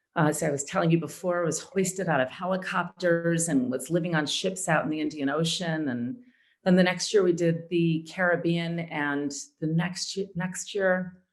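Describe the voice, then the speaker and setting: A woman's ordinary speaking voice with an American accent, fairly low in pitch, at a moderate pace with fairly even intonation. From Chicago and Atlanta. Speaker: actor and audiobook narrator. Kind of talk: interview answer.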